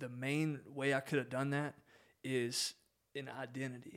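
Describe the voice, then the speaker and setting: A man with an American accent speaks in a monotone, flat intonation on a very clean recording with a silent background. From Southwest Virginia, Appalachian mountains. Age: 20s. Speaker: guest, realtor and outdoor ministry coordinator. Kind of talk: casual interview chat, sharing personal testimony.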